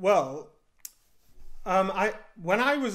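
A man talks with a northern English accent. The background is quiet. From northern England. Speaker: indie game developer; interviewee. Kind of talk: interview. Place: home room. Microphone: studio mic.

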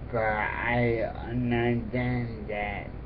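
A man talks very slowly, noticeable noise running behind his voice. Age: 20s. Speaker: college student. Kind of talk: casual talk to camera, application video.

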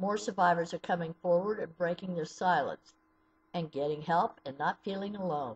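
In an American accent, a woman speaks at a moderate pace with a somewhat breathy, fairly low voice and ordinary pitch variation. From US Midwest (southeastern Ohio). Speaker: abuse survivor advocate. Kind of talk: personal testimony. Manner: read from a script. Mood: serious, sorrowful, earnest. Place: home room. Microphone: webcam.

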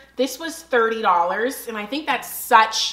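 At a moderate pace, a woman speaks. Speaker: home decor vlogger. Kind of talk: casual haul vlog chat. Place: home room.

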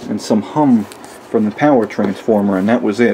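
A man speaks at a moderate pace with a dark, mellow tone over faint background noise.

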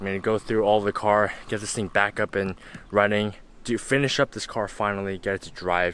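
Speaking at a fairly quick pace, a man uses a fairly low pitch and a fairly bright tone.

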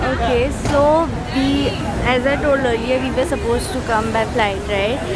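A woman talks over crowd noise in the background, the sound dry with no echo. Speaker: travel vlogger. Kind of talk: casual vlog chat. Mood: playful, slightly awkward. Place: station. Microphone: phone near.

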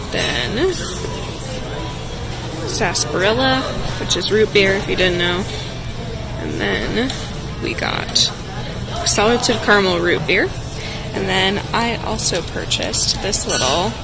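The speech moves at a very slow pace, broken by long, frequent pauses. Clear music plays in the background of a dry sound with no echo. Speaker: travel vlogger. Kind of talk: casual vlog chat. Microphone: phone near.

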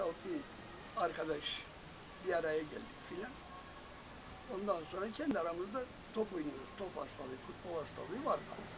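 A man speaks at a moderate pace with a high pitch and lively intonation, leaving long, frequent pauses. Noticeable background noise runs underneath. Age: 70s. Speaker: amateur football club founder and coach. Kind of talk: interview answer. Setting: outdoors. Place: garden. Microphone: camera far.

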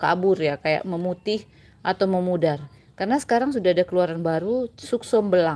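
Her tone dark and mellow, a woman speaks at a fairly quick pace with lively intonation. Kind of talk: tutorial. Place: garden. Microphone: phone near.

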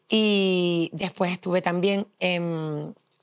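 A woman with a fairly low pitch and fairly even intonation, set against a quiet background. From Canary Islands, Mogán (Gran Canaria); Canary Islands, Spain. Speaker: television journalist. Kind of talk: testimony interview. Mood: warm, smiling, nostalgic. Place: hall.

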